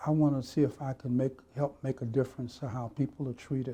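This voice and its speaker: Somewhat breathy and dark, mellow in tone, a man with an American accent talks at a medium pitch. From Miami, Florida. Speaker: retired police officer. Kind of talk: oral history interview answer.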